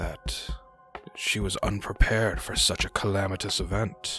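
Clear music plays behind a put-on character voice that goes at a fairly slow pace. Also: man. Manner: grandiose, archaic, lecturing.

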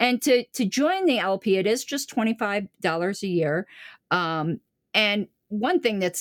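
In an American accent, a woman with a plain, everyday voice speaks at a moderate pace and medium pitch with lively intonation, captured dry and close with no echo on a very clean recording with a silent background. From Florida, US. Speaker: political party official. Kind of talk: interview conversation.

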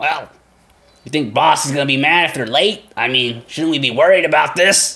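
At a moderate pace, a man does a put-on character voice with a fairly high pitch. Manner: worried, questioning.

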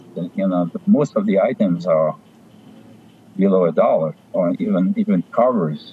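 Man with a French accent at a moderate pace, noticeable background noise. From France (Paris). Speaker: stamp dealer. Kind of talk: interview. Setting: video call.

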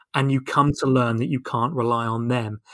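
In a southern English accent, a man talks at a moderate pace with a bright, sharp tone, on a very clean recording with a silent background. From southern England (Portsmouth). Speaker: sport sociology professor, former footballer. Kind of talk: interview conversation. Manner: halting, many repetitions.

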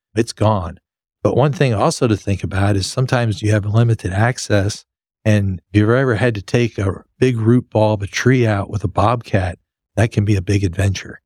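A man with an American accent and an ordinary speaking voice, fairly low in pitch, with ordinary pitch variation and a moderate pace, on a very clean recording with a silent background. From West Texas (Lubbock). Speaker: landscape architect and pool designer, co-host. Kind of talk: casual chat.

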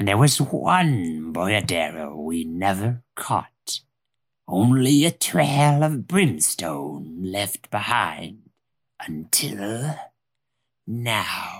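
Low and very slow, a put-on character voice comes through on a very clean recording with a silent background. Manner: grim, certain, vengeful.

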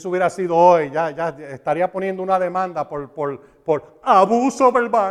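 A man with a high-pitched voice sounds animated. His loudness swings widely. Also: ordinary pitch variation, moderate pace. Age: 60s. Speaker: Bible teacher. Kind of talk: sermon.

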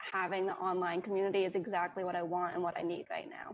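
A woman speaks at a medium pitch with an American accent. Her intonation stays monotone and flat. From New York, US. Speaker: Chinese adoptee. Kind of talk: casual chat.

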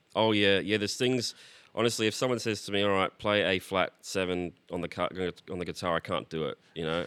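In a very clean recording with a silent background and a dry, close sound with no echo, a man with an Australian accent talks at a fairly quick pace in a very deep, low pitch with fairly even intonation. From Australia, Brisbane. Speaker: singer-songwriter and multi-instrumentalist. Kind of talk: casual interview chat.

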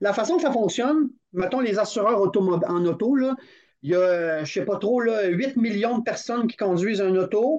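Speaking at a fairly slow pace, a man uses a high pitch and lively intonation. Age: 50s. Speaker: climbing federation training director. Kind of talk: casual interview. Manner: animated, laughing often.

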